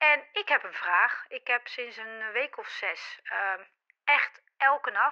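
Very slow and high-pitched, a woman speaks in a bright, sharp tone with very wide pitch swings and big swings in loudness. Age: 40s. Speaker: listener with a question. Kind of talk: voice message.

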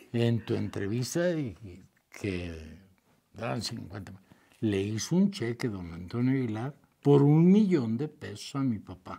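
The voice has a dark, mellow tone and moves at a very slow pace, with very wide pitch swings and long, frequent pauses. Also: man, medium pitch for a man. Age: 70s. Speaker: charro and horse breeder. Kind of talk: casual interview chat. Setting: on a hacienda, outdoors.

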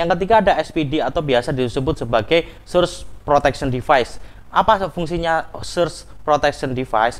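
A man's fairly high-pitched voice with vocal fry. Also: ordinary pitch variation, moderate pace. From East Java, Malang; East Java, Indonesia. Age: 20s. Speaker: electrical engineer; presenter. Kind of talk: educational presentation. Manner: halting, many fillers.

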